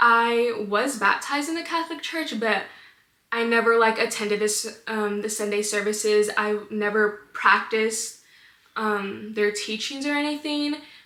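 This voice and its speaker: In a recording with audible room echo and noticeable background noise, a woman speaks at a moderate pace with a fairly high pitch and ordinary pitch variation. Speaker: podcast host sharing her faith testimony. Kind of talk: personal testimony. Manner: casual, filler-heavy.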